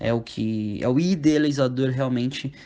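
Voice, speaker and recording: A man's dark, mellow tone at medium pitch, fairly slow and with fairly even intonation, over a quiet background. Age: 20s. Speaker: youth football coach. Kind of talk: podcast interview.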